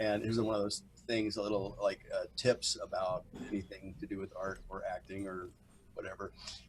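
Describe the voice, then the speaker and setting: In an American accent, a man talks at a moderate pace against noticeable background noise. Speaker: actor. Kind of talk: interview.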